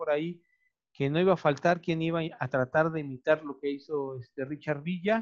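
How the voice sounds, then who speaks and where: This man has a fairly high pitch for a man and speaks with a Mexican accent. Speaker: video podcast host. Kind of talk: casual chat.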